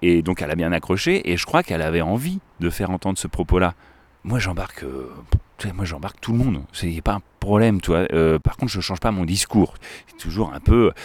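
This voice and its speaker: A man with a very deep, low pitch and an animated tone talks at a fairly quick pace with ordinary pitch variation and long, frequent pauses, the sound dry and close with no echo. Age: 30s. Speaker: river school educator. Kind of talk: casual chat. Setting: outdoors by a river.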